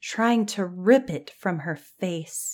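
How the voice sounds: Over a quiet background comes a natural reading voice. It has ordinary pitch variation.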